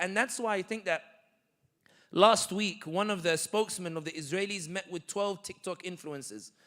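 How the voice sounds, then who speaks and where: In a London accent, a man talks in an animated tone with ordinary pitch variation. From London, England. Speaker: political commentator. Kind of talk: Q&A talk.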